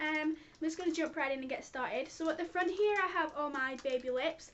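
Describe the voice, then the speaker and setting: A woman with a British accent speaks in a high pitch at a fairly quick pace with ordinary pitch variation. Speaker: beauty vlogger. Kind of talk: product review vlog. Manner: fast.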